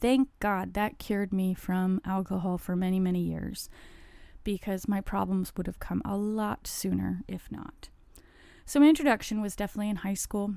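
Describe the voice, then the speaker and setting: A woman at a moderate pace on a very clean recording with a silent background. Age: 40s. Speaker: podcast host sharing addiction recovery story. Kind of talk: personal monologue, testimony.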